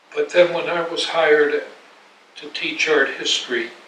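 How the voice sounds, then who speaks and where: A man keeps a moderate pace while noticeable background noise continues. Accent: American. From New York. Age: 80s+. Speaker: art critic and historian. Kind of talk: interview answer. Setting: home apartment.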